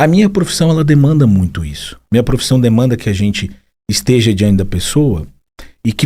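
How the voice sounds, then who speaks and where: A man speaks at a fairly quick pace, his pitch medium. His tone is dark and mellow, with very wide pitch swings. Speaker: psychologist. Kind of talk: casual chat.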